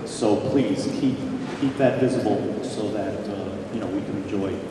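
A man talks at a fairly slow pace. Audible room echo surrounds his voice.

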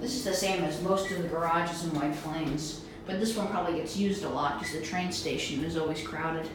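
Speech at a moderate pace amid strong room echo and noticeable background noise. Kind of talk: casual commentary. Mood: disgusted, critical.

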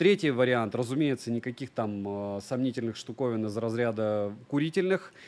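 A man speaks with lively intonation at a moderate pace. He leaves hardly any pauses. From Russia, Murmansk region (Monchegorsk); Russia. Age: 30s. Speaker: tech reviewer and streamer; tech blogger. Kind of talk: livestream monologue. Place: home room. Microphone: studio mic.

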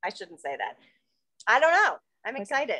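Raised and projected, a woman's high-pitched voice swings very widely in pitch, with a bright, sharp tone. She keeps a moderate pace against a quiet background. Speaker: novelist; guest. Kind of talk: casual chat. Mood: cheerful, animated. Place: home room. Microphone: video call.

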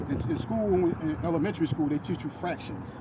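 Background noise is noticeable throughout. The speaking pace runs fairly quick. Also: man. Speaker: street preacher. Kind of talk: sermon. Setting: outdoors. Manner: halting.

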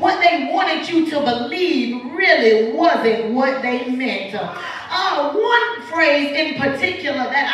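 Amid light background noise and strong room echo, a woman speaks at a very slow pace, her pitch swinging very widely. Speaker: guest preacher. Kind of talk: sermon. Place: church. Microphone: camera far.

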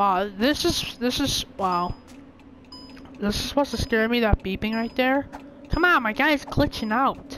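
With lively intonation, a woman talks at a fairly slow pace over noticeable background noise. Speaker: gaming YouTuber. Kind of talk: gameplay commentary. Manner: animated, exclamatory; hesitant, many fillers. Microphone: new headset mic, louder.

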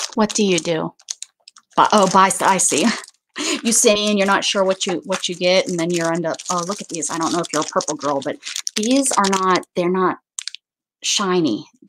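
A woman speaks at a moderate pace with ordinary pitch variation and long, frequent pauses. Noticeable background noise runs underneath. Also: medium pitch for a woman. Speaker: YouTube craft creator. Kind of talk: casual live-stream haul chat; casual live stream chat. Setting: home live stream. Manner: chatty, many fillers.

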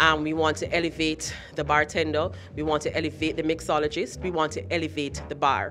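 A woman with a very deep, low voice talks at a fairly quick pace as faint music plays in the background. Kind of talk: interview answer. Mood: proud, earnest. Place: hall. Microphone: handheld.

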